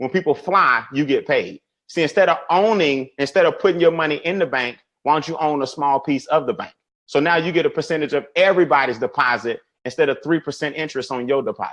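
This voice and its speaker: Over a quiet background, a man with an American accent talks at a very fast pace in an animated tone. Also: fairly high pitch for a man, ordinary pitch variation. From US South. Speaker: financial educator. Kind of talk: webinar presentation. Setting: online webinar.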